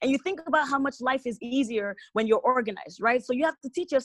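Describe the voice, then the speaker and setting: Heard in a dry, close sound with no echo, a woman with an American accent speaks at a high pitch with ordinary pitch variation. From US West Coast (California). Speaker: restaurant entrepreneur. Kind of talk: interview.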